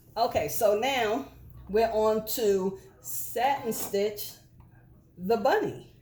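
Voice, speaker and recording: Speaking at a very slow pace with long, frequent pauses, a woman keeps her loudness very even while her fairly high voice has lively intonation. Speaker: embroidery and sublimation crafter. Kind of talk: casual crafting tutorial chat.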